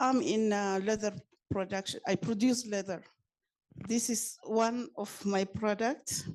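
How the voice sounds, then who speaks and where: With a non-native accent, a woman speaks at a fairly high pitch and fairly slow pace, using ordinary pitch variation. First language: not English. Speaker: leather producer. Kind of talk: audience question. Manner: halting.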